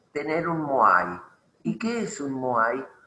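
A man talks at a very slow pace with lively intonation. Room echo can be heard. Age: 80s+. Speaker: retired engineer and inventor. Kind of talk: interview conversation.

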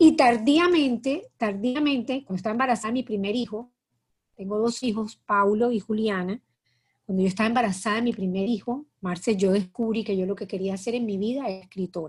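A woman's somewhat breathy voice moves at a fairly quick pace with ordinary pitch variation. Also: very clean recording, silent background. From Colombia, Cartagena. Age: 50s. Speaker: writer. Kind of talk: interview. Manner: halting.

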